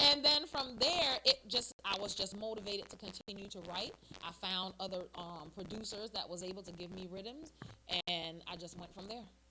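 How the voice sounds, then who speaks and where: Over noticeable background noise, a woman at medium pitch speaks at a moderate pace with lively intonation and big swings in loudness. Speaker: soca singer, army veteran. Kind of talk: interview.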